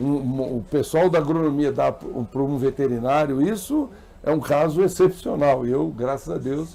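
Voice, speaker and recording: A man's ordinary speaking voice, fairly high in pitch, with ordinary pitch variation and a moderate pace. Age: 60s. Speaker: bank president and former politician. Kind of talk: interview. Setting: live broadcast at agricultural fair.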